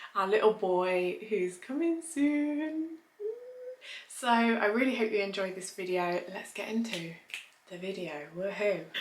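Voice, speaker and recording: In an English accent, a woman talks at a fairly slow pace with very wide pitch swings, and the room echo is audible. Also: medium pitch for a woman. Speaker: lifestyle vlogger. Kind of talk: casual vlog. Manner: quiet, subdued.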